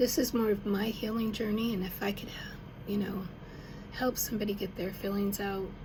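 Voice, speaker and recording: In an American accent, a woman with a medium-pitched, monotone, flat delivery talks at a fairly quick pace with long, frequent pauses, and audible room echo surrounds her voice. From Arkansas and Denver. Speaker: songwriter. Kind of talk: casual personal talk to camera. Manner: halting, with fillers.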